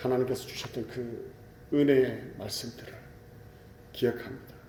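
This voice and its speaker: In a Gyeongsang accent, a man at medium pitch speaks at a moderate pace with monotone, flat intonation. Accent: Gyeongsang dialect pronunciation. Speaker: pastor. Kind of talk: sermon.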